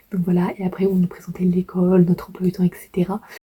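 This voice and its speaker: This woman talks at a medium pitch. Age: 20s. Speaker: vlogger, language student. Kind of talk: casual vlog. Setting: outdoors.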